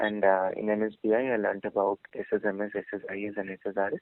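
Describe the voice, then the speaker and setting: A man speaks in a soft-spoken way. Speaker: job candidate, fresh graduate. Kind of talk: job interview. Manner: halting. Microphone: too quiet.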